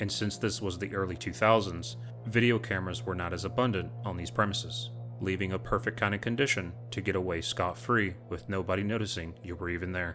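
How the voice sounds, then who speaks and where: A man's lively, fairly quick delivery over music in the background. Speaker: true crime channel host. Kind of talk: true crime narration.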